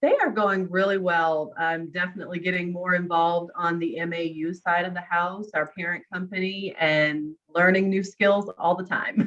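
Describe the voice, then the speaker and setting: A woman's fairly low voice, a normal speaking voice, at a moderate pace with fairly even intonation and hardly any pauses. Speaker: co-facilitator. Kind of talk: online workshop discussion; casual chat.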